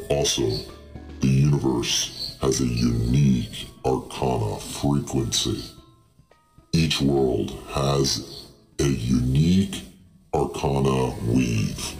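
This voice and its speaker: Over faint music in the background, a man puts on a character voice with a very deep, low pitch, a very slow pace and long, frequent pauses. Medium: actual play. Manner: slow, grave, formal.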